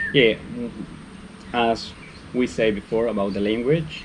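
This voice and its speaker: A man speaks with a Spanish accent at a fairly slow pace. His pitch is medium, with ordinary variation. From Mexico. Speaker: vlogger. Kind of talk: casual chat.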